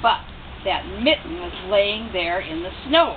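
Over clear background noise, a woman with a medium pitch talks at a fairly slow pace with lively intonation.

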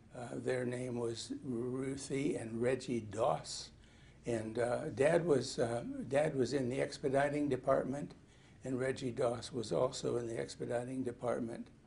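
Somewhat breathy and dark, mellow in tone, a man talks at a fairly slow pace with fairly even intonation. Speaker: interviewee. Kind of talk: interview answer.

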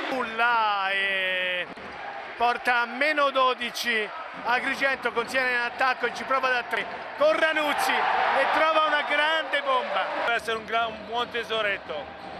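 Amid noticeable background noise, a man uses a raised, projected voice, extremely high in pitch, animated in tone, with ordinary pitch variation. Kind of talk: live basketball commentary. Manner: animated, builds excitement on dunks and threes.

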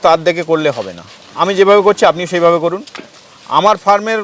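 Noticeable background noise sits under speech with fairly even intonation. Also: man. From West Bengal, North 24 Parganas. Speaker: goat farmer. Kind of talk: interview. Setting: outdoors.

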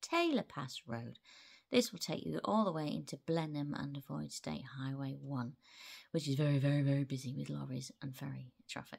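Moderate pace from a woman, quiet background. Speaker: travel vlogger. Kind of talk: casual vlog chat. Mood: playful, chatty. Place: home room. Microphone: phone near.

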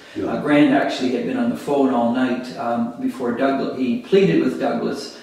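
Strong room echo surrounds speech at a moderate pace with ordinary pitch variation. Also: man. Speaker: interviewee. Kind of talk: interview answer. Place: home room.

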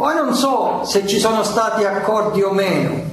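A man with a high-pitched voice speaks amid noticeable background noise and audible room echo. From Calabria, Tyrrhenian side. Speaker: mafia collaborator witness. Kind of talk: court testimony.

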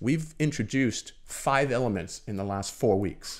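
A man at medium pitch with lively intonation and vocal fry, over a quiet background. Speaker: swim and triathlon coach. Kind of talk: casual chat. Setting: studio. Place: studio. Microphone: studio mic.

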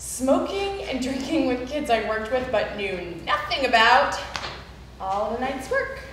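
A woman's high-pitched voice at a fairly slow pace, with audible room echo and light background noise. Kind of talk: spoken word monologue performance. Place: hall.

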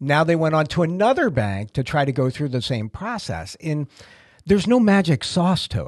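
With an American accent, a man speaks at a moderate pace in a fairly high pitch that swings very widely, the sound dry with no echo over a quiet background. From Massachusetts. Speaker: podcast host. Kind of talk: casual chat. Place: office. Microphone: studio mic.

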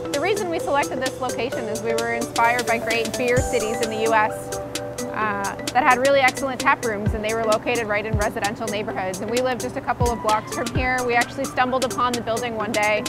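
Over loud background music, the voice rushes along very fast with hardly any pauses and ordinary pitch variation, the sound dry with no echo. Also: woman. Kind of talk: interview answer. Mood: warm and upbeat. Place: factory. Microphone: lapel.

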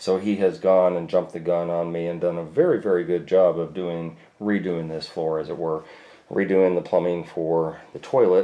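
A man's very deep, low voice, dark and mellow in tone, monotone and flat at a moderate pace. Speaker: tile contractor. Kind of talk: tutorial. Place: bathroom. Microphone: phone near.

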